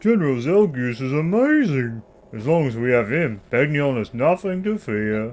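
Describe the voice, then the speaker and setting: Here a man uses a put-on character voice. It sits at a medium pitch and moves at a moderate pace. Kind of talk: posh, refined. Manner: admiring, gossipy.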